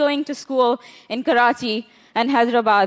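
A woman with a Balochistan accent at a moderate pace. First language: Brahvi. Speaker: women's rights activist. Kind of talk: conference talk. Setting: stage with audience.

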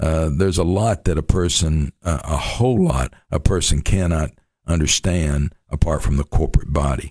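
A man with vocal fry and a very deep, low pitch. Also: ordinary pitch variation, moderate pace. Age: 60s. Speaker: missions pastor. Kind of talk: radio interview.

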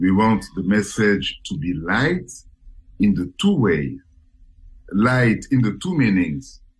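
A man's fairly low voice with vocal fry, very wide pitch swings, a very slow pace and long, frequent pauses. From Paris, France. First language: French. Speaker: musician. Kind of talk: casual radio interview. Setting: radio interview, remote call from Paris. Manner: halting, repeats words.

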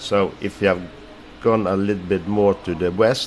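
A man speaks with a very deep, low pitch. Background noise is noticeable throughout. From Norway. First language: Norwegian. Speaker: ice pilot. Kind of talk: interview.

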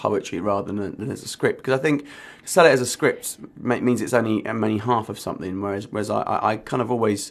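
With ordinary pitch variation, the reading voice sounds natural.

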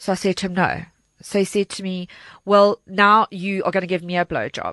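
With a South African accent, a woman speaks at a fairly quick pace in a medium pitch, her tone bright and sharp with ordinary pitch variation, the sound dry and close with no echo and the background quiet. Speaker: charity organizer and crime survivor. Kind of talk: personal testimony. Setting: studio.

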